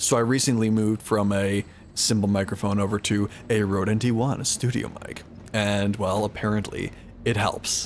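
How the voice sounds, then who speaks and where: Fairly low in pitch, a man delivers his words at a moderate pace with monotone, flat intonation. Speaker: streamer. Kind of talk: casual chat. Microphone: studio condenser microphone.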